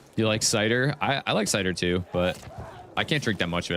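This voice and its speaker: A man with a very deep, low pitch and an animated tone talks at a fairly quick pace with ordinary pitch variation over noticeable background noise. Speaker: gaming streamer. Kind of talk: live gameplay stream chat. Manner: casual, animated.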